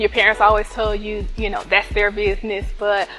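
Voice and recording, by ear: A woman with a Southern US accent at a moderate pace, music playing in the background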